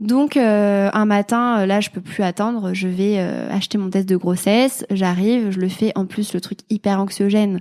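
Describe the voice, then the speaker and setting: A woman's fairly slow, fairly even speech in a very clean recording with a silent background. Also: medium pitch for a woman. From France, Clermont-Ferrand (Auvergne). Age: 20s. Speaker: mother sharing her motherhood story. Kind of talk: testimony interview. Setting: podcast interview. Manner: hesitant, many fillers.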